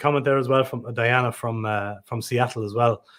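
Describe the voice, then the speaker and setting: A man with an Irish accent speaks in fairly even intonation. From Ireland. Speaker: livestream music show host. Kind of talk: casual chat. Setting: livestream video call.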